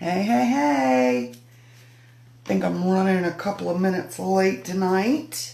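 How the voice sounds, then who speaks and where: Speaking very slowly, a woman uses a fairly low pitch with very wide pitch swings. Audible room echo and noticeable background noise surround her voice. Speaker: craft demonstrator. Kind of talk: live stream craft demo chat. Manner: chatty, casual.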